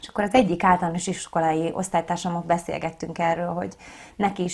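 A woman's fairly low voice at a fairly quick pace. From Hungary, Szigetszentmiklós near Budapest; Hungary. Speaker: operetta singer and actress; actress. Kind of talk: interview. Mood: relaxed, friendly. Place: studio.

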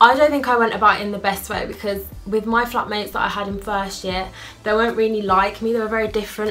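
Over faint music in the background, a woman talks at a very fast pace with monotone, flat intonation. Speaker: student vlogger. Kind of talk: casual vlog advice. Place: home room. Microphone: phone near.

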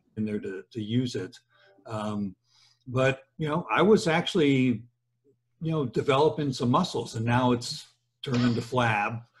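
Lively in intonation and somewhat breathy, a man speaks at a moderate pace with long, frequent pauses. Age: 60s. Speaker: podcast host, engineering professor; podcast host. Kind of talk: casual interview; interview conversation. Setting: home office. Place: office. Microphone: webcam.

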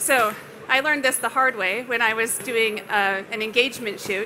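Light background noise sits under a voice with ordinary pitch variation. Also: woman. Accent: western Canadian. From Canada, Alberta (Calgary); Alberta. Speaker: landscape and astrophotographer; presenter. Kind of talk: presentation to an audience. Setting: stage at a trade expo with audience. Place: hall. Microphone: headset.

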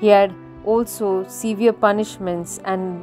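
With music in the background, a woman speaks with ordinary pitch variation. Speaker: narrator. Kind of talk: narrated biography lecture.

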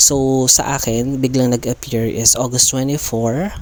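At a very slow pace, a man speaks at a medium pitch in a dark, mellow tone. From Philippines, Nueva Ecija (Cabanatuan). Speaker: YouTuber and licensed teacher. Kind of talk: vlog tutorial.

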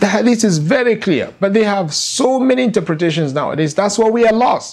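Here a man speaks at a fairly quick pace. His pitch is high. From Nigeria. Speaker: Islamic scholar and lecturer. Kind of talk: religious lecture. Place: home room. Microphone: lapel.

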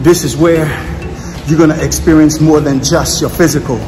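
Clear music plays in the background as a man talks at a moderate pace. His intonation is monotone and flat. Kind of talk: motivational vlog talk. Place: gym. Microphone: phone near.

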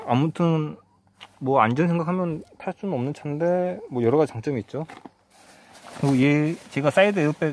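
With light background noise and a dry sound with no echo, a man talks at a fairly quick pace with ordinary pitch variation and long, frequent pauses. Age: 30s. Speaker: car owner reviewing his car. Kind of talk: casual car review talk. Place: car. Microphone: phone near.

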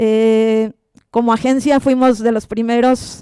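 Over a quiet background with a dry sound and no echo, a woman speaks fairly slowly at a fairly high pitch, her dark, mellow tone delivered in a monotone, flat intonation. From Mexico, Monterrey; Nuevo León, Mexico. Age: 30s. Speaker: sports photographer. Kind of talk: conference talk. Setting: stage with audience. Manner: halting, many fillers. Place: hall. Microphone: handheld.

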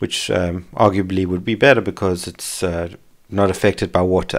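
Delivered at a fairly quick pace, the speech has a monotone, flat intonation on a very clean recording with a silent background. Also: man. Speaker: maker / CNC hobbyist. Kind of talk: software and workshop tutorial narration. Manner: casual, hesitant with fillers.

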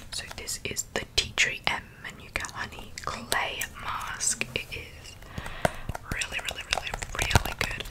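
A woman is whispering at a fairly slow pace. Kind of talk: soft-spoken roleplay chat. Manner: soft, close-mic ASMR speech. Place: home room. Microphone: studio mic.

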